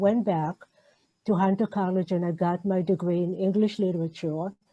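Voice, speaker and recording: A woman speaks with an Israeli accent at a medium pitch. Her pace is moderate and her intonation fairly even. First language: Hebrew. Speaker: novelist. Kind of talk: interview. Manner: halting.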